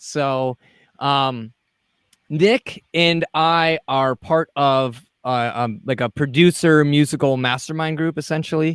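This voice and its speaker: In a very clean recording with a silent background and a dry, close sound with no echo, a man with a Wisconsin accent speaks at a fairly high pitch. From Wisconsin, US. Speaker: podcast host, mixing and mastering engineer. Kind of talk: casual interview.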